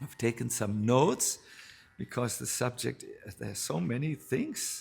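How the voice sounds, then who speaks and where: A man with a German accent speaks at a fairly slow pace and medium pitch, with ordinary pitch variation. Vocal fry runs through his voice. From northern Germany. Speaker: spiritual teacher, monk. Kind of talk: spiritual talk. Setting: live talk with audience.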